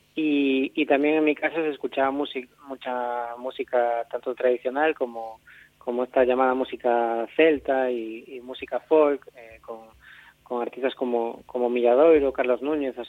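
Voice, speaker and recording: A man speaks at a moderate pace and a medium pitch, his intonation monotone and flat but his loudness swinging widely. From Galicia, Spain (Catoira). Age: 30s. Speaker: electronic folk musician. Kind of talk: interview. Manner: halting, many repetitions and fillers.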